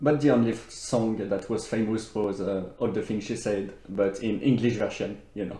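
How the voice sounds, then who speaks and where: In a French accent, the speaker moves at a moderate pace with hardly any pauses. The intonation is fairly even, and room echo is audible. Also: man, fairly low pitch for a man. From France. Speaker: radio interviewer. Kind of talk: interview.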